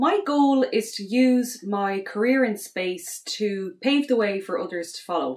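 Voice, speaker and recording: A woman's fairly high voice at a fairly slow pace, with lively intonation, big swings in loudness, and hardly any pauses. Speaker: space educator and astronaut candidate. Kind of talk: promotional self-introduction. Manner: hesitant, many fillers.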